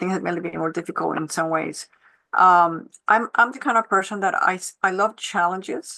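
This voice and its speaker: A woman's medium-pitched, bright, sharp voice with a non-native accent, fairly quick pace, big swings in loudness and ordinary pitch variation. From Switzerland, Geneva (born in Colombia). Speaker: panelist, economic development executive and former finance professor. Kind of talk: panel discussion.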